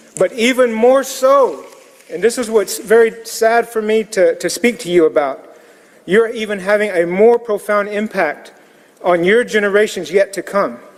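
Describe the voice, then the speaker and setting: A man with an American accent, high in pitch, at a moderate pace with ordinary pitch variation, against noticeable background noise. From US Southeast, Muscogee community. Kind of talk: public comment at city council. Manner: formal, solemn.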